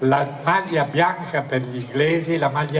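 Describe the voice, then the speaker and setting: A man talks fairly slowly in a fairly high pitch, his pitch varying in an ordinary way, with noticeable background noise behind him. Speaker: sports commentator. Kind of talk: live football match commentary. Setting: outdoors.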